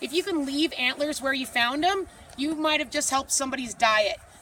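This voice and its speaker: In an animated, bright and sharp tone, a woman speaks at a high pitch with ordinary pitch variation. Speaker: outdoor guide and trainer. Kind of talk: presentation to a group.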